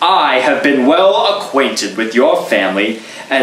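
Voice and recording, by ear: The intonation is lively here. It is reading aloud in a natural voice.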